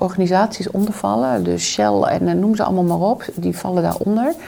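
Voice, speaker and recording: A woman speaks at a fairly low pitch with lively intonation. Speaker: trauma therapist and coach. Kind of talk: interview conversation. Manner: reflective.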